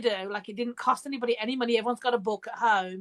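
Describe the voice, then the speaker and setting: A high-pitched woman's voice with an English accent in a dry, close sound with no echo. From England, Birmingham. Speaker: author and podcast host. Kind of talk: casual chat. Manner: hesitant, many fillers.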